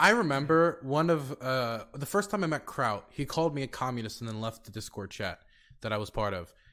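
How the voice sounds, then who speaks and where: Against a very clean, silent background, a man with an American accent uses a bright, sharp tone and very wide pitch swings. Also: medium pitch for a man. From United States. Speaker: streamer and podcast co-host. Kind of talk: casual podcast discussion.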